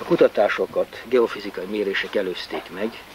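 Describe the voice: There is faint background noise as a man talks with ordinary pitch variation. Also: fairly low pitch for a man.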